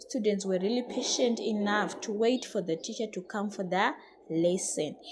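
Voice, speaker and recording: With a non-native accent, a woman talks at a fairly high pitch. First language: not English. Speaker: English teacher. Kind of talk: tutorial. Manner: halting.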